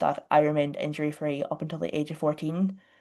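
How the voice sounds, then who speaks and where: Very deep and low-pitched, a woman talks with an Irish accent. Her intonation is monotone and flat, and the background is quiet. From Ireland. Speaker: online fitness coach. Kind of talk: podcast interview. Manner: talkative, fast.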